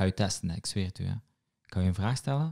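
A Moroccan accent over a quiet background. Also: man. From Morocco. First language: Moroccan Arabic (speaking Dutch). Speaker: podcast host and comedy writer; podcast host. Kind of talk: casual chat. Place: home room. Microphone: studio mic.

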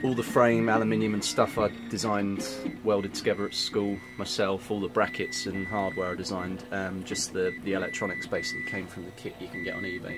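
Loud music plays behind a fairly quick delivery with hardly any pauses. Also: man. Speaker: teacher. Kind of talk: casual show-and-tell explanation. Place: workshop. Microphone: phone near.

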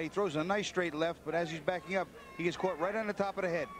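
A man with a high pitch talks at a very fast pace in an energetic tone. Noticeable background noise can be heard. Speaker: boxing analyst. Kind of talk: live commentary. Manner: analytical, conversational, energetic ringside analysis.

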